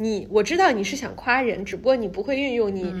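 A woman speaks at a fairly quick pace in an ordinary speaking voice. Her pitch is fairly high, with ordinary variation. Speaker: journalism student. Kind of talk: casual chat.

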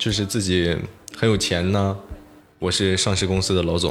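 Music plays behind a man with a very deep, low pitch. He speaks at a fairly slow pace, and room echo is audible. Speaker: broadcasting student. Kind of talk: casual chat.

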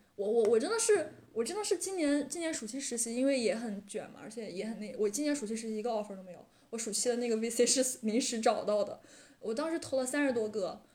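Against noticeable background noise, a woman speaks very fast in a high voice with lively intonation. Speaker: graduate student job seeker. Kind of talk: casual chat.

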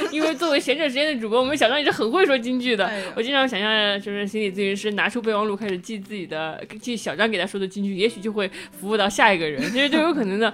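Lively intonation and a very fast pace come through over noticeable background noise. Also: woman, fairly high pitch for a woman. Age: 20s. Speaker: podcast host. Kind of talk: casual chat.

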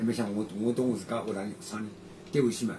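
The man's middle-pitched voice comes with audible room echo. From Shanghai, Yangpu district. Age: 70s. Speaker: former footballer and youth football coach. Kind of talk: casual interview. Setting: room in an old lane house.

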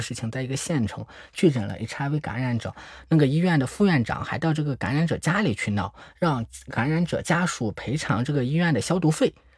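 A man talks at a fairly quick pace in a fairly high, somewhat breathy voice. His intonation is lively, and the recording is very clean with a silent background. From Shandong, China (Zibo). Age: 30s. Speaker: HIV support project manager. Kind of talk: interview testimony.

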